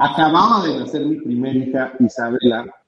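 Here is a plain, everyday voice from a man. His pitch is fairly high and his pace moderate. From Mexico. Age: 30s. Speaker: company founder and trainer. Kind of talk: interview on live stream.

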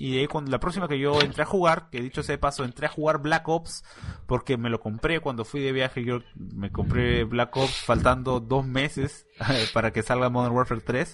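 Against noticeable background noise, a man at medium pitch talks at a moderate pace with ordinary pitch variation. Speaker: podcast host. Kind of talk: casual chat.

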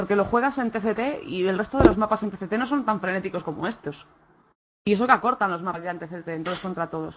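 A woman speaks at a fairly quick pace, her medium-pitched voice carrying lively intonation. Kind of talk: casual chat.

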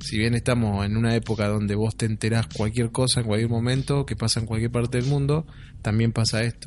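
Against a quiet background, a somewhat breathy man speaks at a fairly quick pace and medium pitch with fairly even intonation. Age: 30s. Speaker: podcast co-host. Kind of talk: casual chat.

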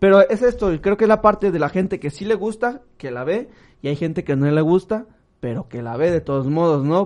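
Against a quiet background, a man with a normal speaking voice talks at a moderate pace with lively intonation. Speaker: podcast co-host. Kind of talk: casual chat.

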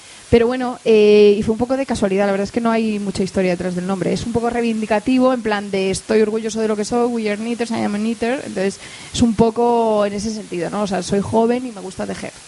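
Fairly high-pitched and fairly even in intonation, a woman talks very fast with hardly any pauses over noticeable background noise. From Spain, Madrid. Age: 30s. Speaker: entrepreneur. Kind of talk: onstage interview.

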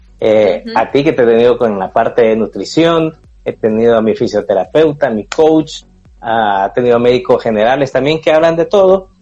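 Over music in the background, a man speaks at medium pitch and a moderate pace with lively intonation. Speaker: running podcast host. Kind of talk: interview guest, casual chat.

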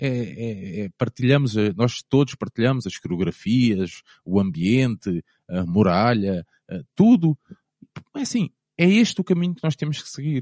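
With a dark, mellow tone and a medium pitch, a man speaks at a fairly slow pace with long, frequent pauses, very wide pitch swings and big swings in loudness, in a dry, close sound with no echo. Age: 30s. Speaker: football fan, former ultras group leader. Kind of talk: casual interview chat.

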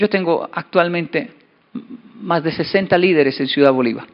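A man talks at a moderate pace. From Colombia and Japan (Japan from age 10 to 24). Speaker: motivational speaker. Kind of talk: keynote talk.

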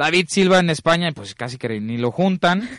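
The man has a plain, everyday voice and talks at a moderate pace. The sound is dry and close, with no echo. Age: 20s. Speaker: sports radio host. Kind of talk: casual chat.

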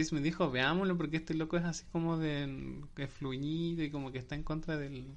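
He has a plain, everyday voice. This man talks at a fairly quick pace with fairly high pitch and fairly even intonation. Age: 20s. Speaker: podcast host. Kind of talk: casual chat.

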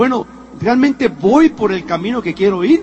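A man's animated tone and lively intonation at a moderate pace, against noticeable background noise. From Spain (Madrid). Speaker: motivational speaker, former executive. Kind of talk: motivational talk. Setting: stage with audience.

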